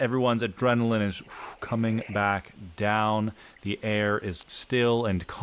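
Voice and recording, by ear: Someone reads a text aloud. It comes in a natural voice.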